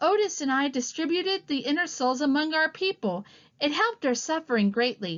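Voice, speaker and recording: A woman's put-on character voice, high in pitch, with very wide pitch swings and a fairly quick pace. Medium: read story. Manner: solemn, pious.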